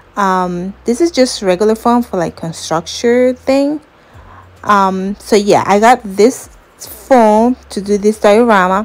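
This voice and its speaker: A woman with a non-native accent speaks very slowly in a fairly high voice. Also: ordinary pitch variation. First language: not English. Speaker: crafts YouTuber. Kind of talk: tutorial. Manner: casual, hesitant with fillers.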